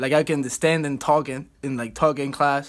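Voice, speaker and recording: On a very clean recording with a silent background, a man with a Cuban accent speaks at a moderate pace and a fairly high pitch. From Cuba, Havana. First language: Spanish. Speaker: college baseball player. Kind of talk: student video presentation.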